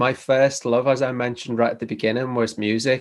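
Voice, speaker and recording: A man with a Liverpool accent talks at a fairly quick pace in a medium pitch. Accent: Liverpool (Scouse). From northern England, Liverpool. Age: 40s. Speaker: chiropractor and DJ. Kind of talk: interview.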